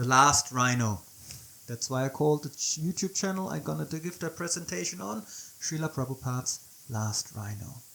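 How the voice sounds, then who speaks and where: A moderate pace with a German accent. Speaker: devotional teacher. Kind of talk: video presentation. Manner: halting.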